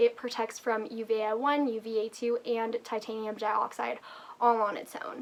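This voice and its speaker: A woman talks in an ordinary speaking voice, pitched fairly high. She keeps a moderate pace with ordinary pitch variation. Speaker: beauty YouTuber. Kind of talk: product review vlog. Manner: casual, chatty.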